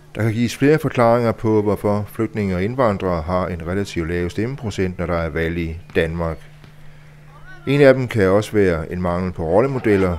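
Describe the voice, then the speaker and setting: Delivery runs at a moderate pace with ordinary pitch variation. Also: man, very deep, low pitch for a man. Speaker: reporter. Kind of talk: scripted narration.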